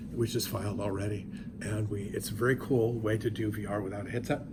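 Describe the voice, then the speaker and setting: There is audible room echo around this man's voice. He speaks at a fairly quick pace. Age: 60s. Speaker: professor. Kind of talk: lecture. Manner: animated.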